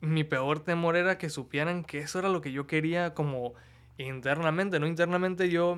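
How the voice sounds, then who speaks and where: A high-pitched male voice on a very clean recording with a silent background. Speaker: body piercer. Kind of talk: casual chat. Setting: studio.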